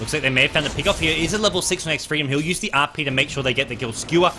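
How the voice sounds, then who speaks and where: Music plays in the background as a man rattles along at a very fast pace. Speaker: esports commentator. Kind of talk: live commentary.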